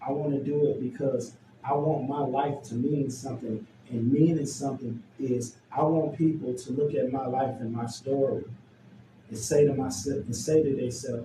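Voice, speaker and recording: Noticeable background noise and audible room echo fill this recording. A man with an American accent speaks at a fairly high pitch and a moderate pace. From Chicago, US Midwest. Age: 60s. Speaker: youth justice worker. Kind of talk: interview testimony. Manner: halting, repeats words.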